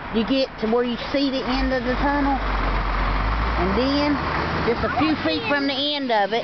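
Through loud background noise, a woman talks at a moderate pace with ordinary pitch variation. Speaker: local vlogger. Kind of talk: casual vlog chat. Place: open country. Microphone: phone near.

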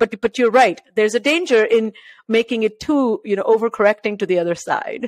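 The recording has a dry sound with no echo and a quiet background, and the speech shows ordinary pitch variation. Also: woman, fairly high pitch for a woman, fairly quick pace. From India, Maharashtra. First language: Marathi. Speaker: podcast host. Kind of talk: interview conversation. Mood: warm, engaged. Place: home room. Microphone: studio mic.

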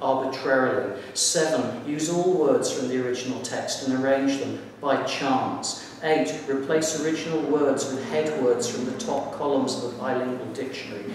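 With strong room echo and light background noise, a man talks at a moderate pace with fairly even intonation and hardly any pauses. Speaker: poet. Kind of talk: poetry reading. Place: hall. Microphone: camera far.

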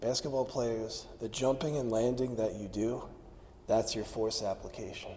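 A man speaks at a moderate pace over light background noise. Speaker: strength coach. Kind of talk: instructional talk. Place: gym. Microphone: lapel.

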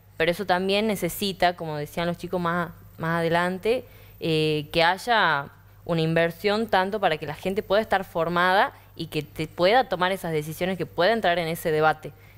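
The woman's pitch is fairly low and varies in an ordinary way. She keeps a moderate pace. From Argentina, Tucumán; Argentina. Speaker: young panelist; panelist. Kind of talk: panel discussion. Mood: earnest, thoughtful. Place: studio. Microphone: lapel.

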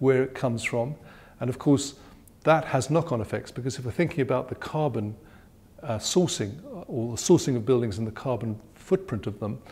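A somewhat breathy man at a fairly quick pace, with ordinary pitch variation. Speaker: interviewee. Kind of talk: interview answer. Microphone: lapel.

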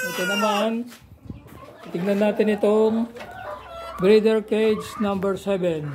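Delivered at a very slow pace with long, frequent pauses, the monotone, flat speech comes over noticeable background noise. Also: man, high pitch for a man. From Philippines. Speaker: backyard poultry farmer and vlogger. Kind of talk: casual vlog walkthrough; casual vlog chat. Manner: halting, many fillers. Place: farm. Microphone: phone near.

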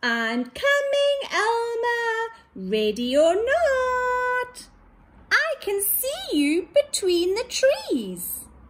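Pitch runs extremely high in a squeaky, put-on character voice. The pace is very slow. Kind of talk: nursery story reading. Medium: read story. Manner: bright, friendly. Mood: eager, searching.

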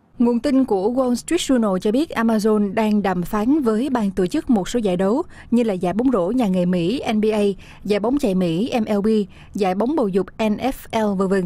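At a moderate pace, a woman speaks in a dark, mellow tone. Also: medium pitch for a woman, ordinary pitch variation.

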